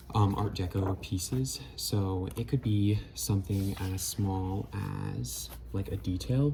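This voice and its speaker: A soft-spoken man talks at a very slow pace. His intonation is lively. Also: fairly low pitch for a man. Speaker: architecture student sharing design process. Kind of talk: casual tutorial.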